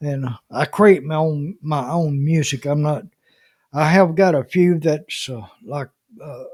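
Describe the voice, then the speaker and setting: At a fairly slow pace, a man speaks in a somewhat breathy voice at a fairly high pitch, with ordinary pitch variation and big swings in loudness. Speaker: YouTuber reading scripture. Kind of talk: casual chat. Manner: halting.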